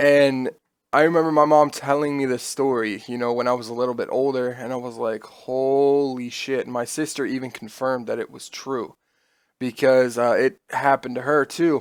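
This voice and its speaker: A medium-pitched man's voice with an American accent, fairly even intonation and a moderate pace, on a very clean recording with a silent background. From US Midwest (Nebraska, then Iowa). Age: 20s. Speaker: streamer. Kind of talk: storytelling. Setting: home streaming room. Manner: casual, with fillers and swearing.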